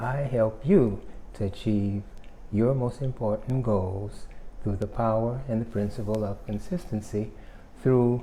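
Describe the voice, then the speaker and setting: At a very slow pace, a man speaks in a fairly low pitch with a dark, mellow tone, a somewhat breathy quality and ordinary pitch variation. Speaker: self-help YouTuber. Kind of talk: motivational talk.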